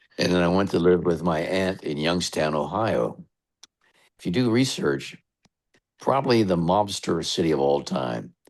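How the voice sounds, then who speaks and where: Speaking at a moderate pace, a man with a very deep, low voice and vocal fry uses lively intonation and leaves long, frequent pauses. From western Pennsylvania. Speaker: radio DJ. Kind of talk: interview.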